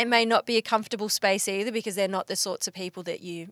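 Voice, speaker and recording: Heard dry and close with no echo, a woman speaks very fast in an Australian accent, with medium pitch and fairly even intonation. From Bendigo, Victoria, Australia. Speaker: podcast host and magazine editor. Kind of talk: casual interview. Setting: podcast van by a lake.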